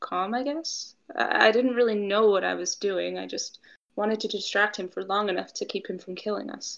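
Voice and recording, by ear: Reading aloud in a natural voice, with pitch that varies in an ordinary way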